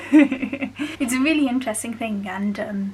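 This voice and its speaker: Noticeable background noise accompanies a woman whose pitch variation is ordinary. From West Midlands, England. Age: 20s. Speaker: university student. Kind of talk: casual talk to camera.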